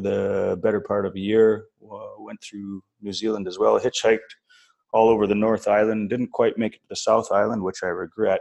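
A fairly low-pitched man with an Albertan accent, at a moderate pace. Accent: Canadian (Alberta). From northern Alberta, Canada. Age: 40s. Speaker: expat oil and gas worker. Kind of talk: casual interview. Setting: call.

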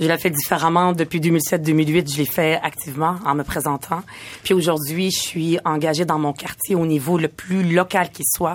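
This woman has an unremarkable speaking voice, pitched fairly low. She talks at a moderate pace with fairly even intonation. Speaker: community activist. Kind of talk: panel discussion.

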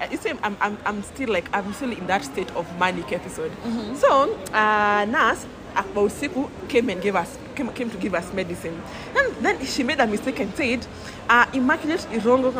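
With audible room echo, a woman with a fairly high pitch speaks at a moderate pace in an animated tone with lively intonation. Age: 20s. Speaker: podcast guest sharing mental health story. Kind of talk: casual chat.

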